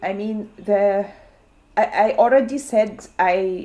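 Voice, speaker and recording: Speaking with an Arabic accent, a woman uses a medium pitch and ordinary pitch variation. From Syria. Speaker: community radio maker. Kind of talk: interview. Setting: recording alone at home. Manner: halting.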